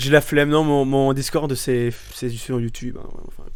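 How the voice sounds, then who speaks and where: There is audible room echo around this voice. A man talks fairly slowly with fairly even intonation. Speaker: streamer. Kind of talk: live gameplay commentary. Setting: live stream. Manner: loud; halting, many repetitions.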